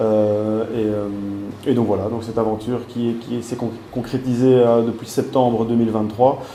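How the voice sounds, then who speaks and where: Over noticeable background noise and audible room echo, a man talks at a moderate pace in a monotone, flat intonation. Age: 20s. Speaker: small business manager. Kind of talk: interview. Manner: halting, many fillers.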